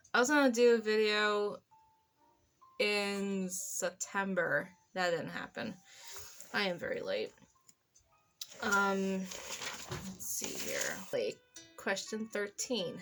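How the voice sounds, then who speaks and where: The speech moves at a very slow pace, broken by long, frequent pauses. Intonation stays fairly even while music plays in the background. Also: woman, medium pitch for a woman. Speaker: horror novelist and YouTuber. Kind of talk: casual vlog intro. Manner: halting, many ums and pauses.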